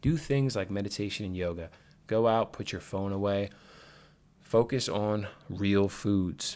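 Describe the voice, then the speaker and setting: At a fairly slow pace with long, frequent pauses, a man with fairly low pitch and an energetic tone uses ordinary pitch variation in a very clean recording with a silent background. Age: 30s. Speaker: fitness podcast host, former football player. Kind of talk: solo podcast monologue. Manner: casual, energetic and rambling.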